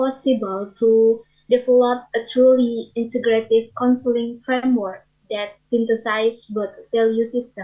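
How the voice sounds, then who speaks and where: The voice is quiet, with a dark, mellow tone, fairly even intonation and a fairly slow pace. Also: woman. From Indonesia. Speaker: audience member asking a question. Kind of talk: conference Q&A question. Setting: conference auditorium. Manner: quiet, hard to hear.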